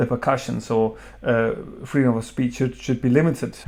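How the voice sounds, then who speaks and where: A man with ordinary pitch variation, music in the background. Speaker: beer reviewer. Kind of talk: opinion commentary. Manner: hesitant, stuttering.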